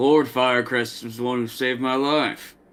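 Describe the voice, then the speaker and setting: A man puts on a character voice at medium pitch, speaking at a moderate pace with monotone, flat intonation. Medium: actual play. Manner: dry, laconic.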